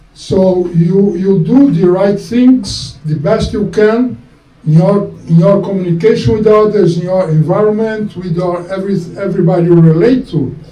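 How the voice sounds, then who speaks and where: A man's high-pitched voice at a moderate pace, with ordinary pitch variation, audible room echo and noticeable background noise. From Brazil. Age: 70s. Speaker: spiritual teacher. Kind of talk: lecture. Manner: halting.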